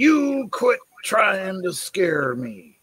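A man puts on a high-pitched character voice, his pitch swinging very widely. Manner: stern, mean.

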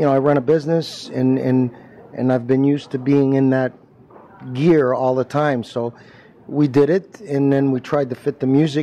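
Over light background noise, a man speaks at a moderate pace with fairly even intonation. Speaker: actor. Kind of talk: interview answer. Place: hall. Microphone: handheld.

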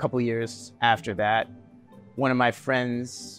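With faint music in the background, a man talks at a moderate pace. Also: dry sound with no echo. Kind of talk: interview answer. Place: home room. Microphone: lapel.

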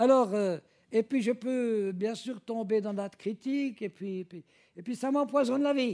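At a fairly slow pace, a man with a high pitch, a dark, mellow tone and ordinary pitch variation speaks in a dry, close sound with no echo. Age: old. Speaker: preacher. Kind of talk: sermon. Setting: church.

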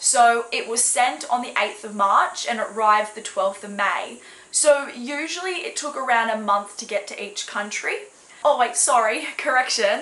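Speaking at a moderate pace with an Australian accent, this animated voice has lively intonation over noticeable background noise. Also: woman. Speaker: crafts and snail mail vlogger. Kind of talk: casual vlog unboxing. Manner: animated, excitable.

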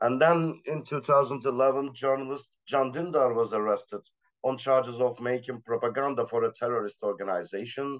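Speaking with a Turkish accent, a man talks at a moderate pace and medium pitch with ordinary pitch variation against a quiet background. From Turkey. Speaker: assistant professor, art critic; panelist. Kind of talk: panel discussion. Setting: video call. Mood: serious, measured. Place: home room. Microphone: video call.

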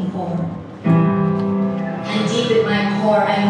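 A woman's voice with audible room echo and loud music in the background. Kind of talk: spoken-word poetry performance. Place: stage. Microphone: camera far.

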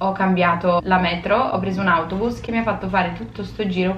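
A woman is speaking with audible room echo. Faint music plays in the background. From United States. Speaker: vlogger. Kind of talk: casual vlog talk to camera. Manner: animated. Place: home room.

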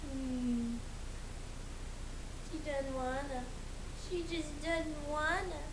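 With noticeable background noise behind it, the delivery is very slow and broken by long, frequent pauses. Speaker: dog owner filming her pet. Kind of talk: casual talk to a pet behind the camera. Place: home room. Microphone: phone near.

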